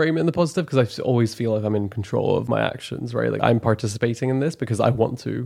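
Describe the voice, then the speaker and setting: A man talks at a very fast pace with hardly any pauses, at a medium pitch with ordinary pitch variation and a dark, mellow tone. The recording is very clean, with a silent background. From moved around young; from an Islamic country, later Canada. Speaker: renewable energy engineer. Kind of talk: casual chat.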